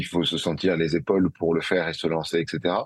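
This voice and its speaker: A man talks at a moderate pace. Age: 30s. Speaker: entrepreneur. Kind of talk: interview. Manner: halting.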